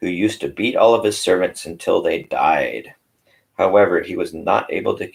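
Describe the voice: Nothing intrudes from the quiet background. The text is given as plain reading aloud.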